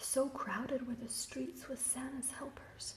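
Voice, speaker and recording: Whispering at a fairly slow pace, the voice is soft-spoken with a gentle tone. Noticeable background noise sits behind it. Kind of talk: whispered ASMR picture-book reading, relaxing bedtime story. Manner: whispered, soft, gentle.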